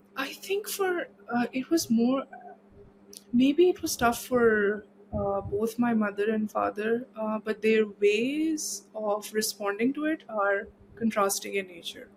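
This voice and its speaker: This woman has a fairly high pitch and a fairly slow pace. It is a normal speaking voice. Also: ordinary pitch variation. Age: 20s. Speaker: body image advocate. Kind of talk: casual interview.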